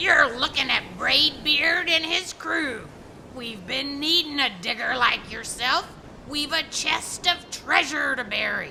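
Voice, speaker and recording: With clear background noise behind her, a woman puts on a high-pitched character voice and speaks fairly slowly. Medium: read story. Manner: loud, yelling pirate talk.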